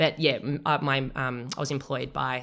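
Speaking fairly slowly in an Australian accent, a woman uses a very deep, low voice with monotone, flat intonation. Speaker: triathlon coach. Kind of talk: casual interview.

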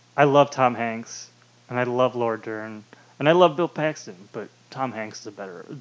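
A man with an ordinary speaking voice and medium pitch talks at a moderate pace, his loudness swinging widely while his pitch varies in an ordinary way. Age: 20s. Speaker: podcast co-host. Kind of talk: casual chat.

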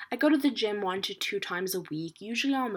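A woman speaks at a very fast pace, her pitch swinging very widely. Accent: American. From New York. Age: 20s. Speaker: podcast host. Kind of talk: solo monologue. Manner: casual, filler-heavy.

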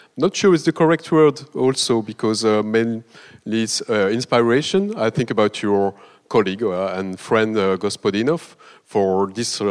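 In a dry, close sound with no echo, a man with an ordinary speaking voice talks at a fairly slow pace and a fairly low pitch. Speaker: festival representative, moderator. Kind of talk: introduction of guest.

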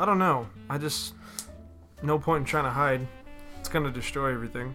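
Music plays behind the voice. A man talks fairly quickly, and his pitch varies in an ordinary way. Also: fairly high pitch for a man. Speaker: podcast co-host.

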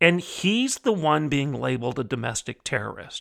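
In a plain, everyday voice with lively intonation, the speaker goes at a moderate pace in a very clean recording with a silent background and a dry, close sound with no echo. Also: man. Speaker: opinion columnist and podcast host. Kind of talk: angry rant, fiery political commentary. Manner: indignant, forceful, sarcastic, preacher-like cadence.

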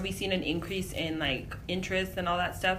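With an American accent, a woman at a medium pitch talks at a moderate pace amid noticeable background noise and audible room echo. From US-Mexico border, Imperial Valley California. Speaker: nonprofit migrant aid director. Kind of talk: interview. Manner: casual, filler-heavy.

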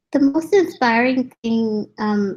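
A dark, mellow, somewhat breathy tone at a fairly slow pace. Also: woman. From India. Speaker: graphic designer. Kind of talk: interview.

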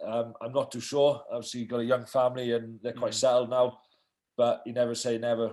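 A man speaks with a Welsh accent. His pitch is medium. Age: 30s. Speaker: professional rugby player. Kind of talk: casual interview. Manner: hesitant, many fillers.

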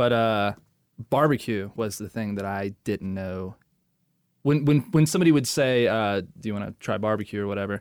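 A man with an American accent speaks at a moderate pace in a normal speaking voice, his fairly low pitch carrying ordinary variation. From Maryland. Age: 30s. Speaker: podcast co-host. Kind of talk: casual chat.

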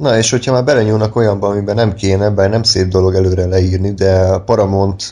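Speaking at a moderate pace, a man uses a fairly low pitch, a dark, mellow tone, and monotone, flat intonation. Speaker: podcast host. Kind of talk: casual chat.

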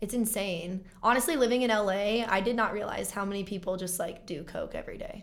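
A woman's medium-pitched voice at a fairly quick pace, with hardly any pauses, ordinary pitch variation and audible room echo. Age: 20s. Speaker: actress and singer-songwriter. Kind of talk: casual chat.

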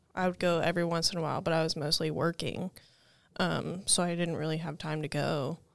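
On a very clean recording with a silent background, a woman talks at a fairly quick pace in a fairly low voice with vocal fry and flat, monotone intonation. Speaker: summer ministry intern. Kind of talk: casual podcast chat. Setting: studio.

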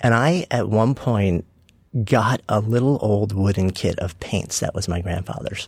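This man speaks in a normal speaking voice at a fairly slow pace. His pitch is fairly low, with ordinary pitch variation. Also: very clean recording, silent background. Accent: American. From New York (Long Island suburb). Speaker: author and entrepreneur. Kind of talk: interview conversation.

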